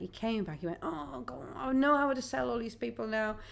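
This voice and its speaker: A woman at a moderate pace. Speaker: singer-songwriter. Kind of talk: radio interview. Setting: radio studio.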